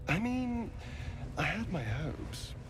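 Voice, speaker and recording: There is loud background noise. Over it, a man performs a put-on character voice. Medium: video game. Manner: arch, mocking.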